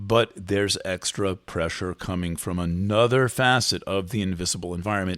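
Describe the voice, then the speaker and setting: A man speaks at a fairly low pitch and a moderate pace, with ordinary pitch variation. The recording is very clean, with a silent background. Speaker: astrologer and writer, podcast host. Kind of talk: solo commentary monologue. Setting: hotel room. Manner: halting, with many fillers and restarts.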